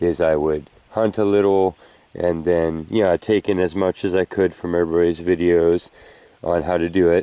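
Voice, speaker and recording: A man mumbles in a very deep, low voice with a dark, mellow tone. His delivery is monotone and flat, at a moderate pace and very even loudness. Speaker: metal detecting hobbyist. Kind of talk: outdoor tutorial vlog. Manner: mumbling; casual, filler-heavy.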